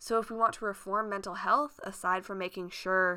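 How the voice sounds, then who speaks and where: Speaking with an American accent, a woman holds a medium pitch with ordinary variation. The recording is very clean, with a silent background. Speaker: podcast host. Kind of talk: angry rant, scathing political commentary. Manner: animated; indignant, sarcastic, profane.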